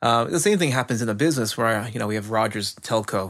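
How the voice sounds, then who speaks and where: A man with a normal speaking voice talks at a fairly quick pace and medium pitch. The recording is very clean, with a silent background. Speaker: IT service management expert. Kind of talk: casual chat.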